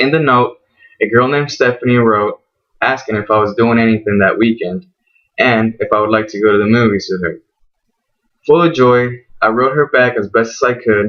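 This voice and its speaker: Speaking with a Spanish accent, a man goes at a fairly quick pace in a medium pitch with fairly even intonation. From Venezuela. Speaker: college student. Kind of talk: class speech. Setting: classroom. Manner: formal.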